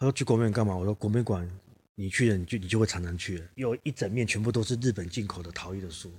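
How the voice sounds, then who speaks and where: A man speaks at a very fast pace with a fairly low, somewhat breathy voice and ordinary pitch variation. The recording is very clean, with a silent background. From southern Taiwan, Kaohsiung. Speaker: ceramic artist and teacher. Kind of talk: casual interview chat.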